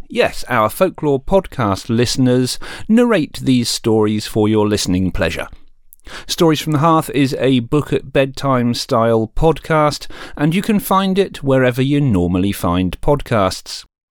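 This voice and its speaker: At a fairly slow pace, a man of medium pitch swings his pitch very widely. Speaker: podcast host. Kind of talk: promotional announcement. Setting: podcast feed announcement.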